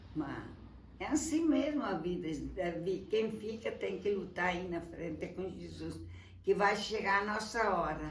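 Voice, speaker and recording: Audible room echo surrounds a woman who speaks at a fairly slow pace with lively intonation and vocal fry. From southern Brazil, Rio Grande do Sul (Encantado). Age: 80s+. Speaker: elderly interviewee. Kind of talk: casual life-story interview. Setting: at her home.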